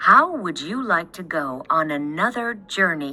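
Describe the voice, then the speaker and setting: Doing a put-on character voice, a woman speaks at a fairly slow pace with a fairly low pitch and very wide pitch swings. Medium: read story.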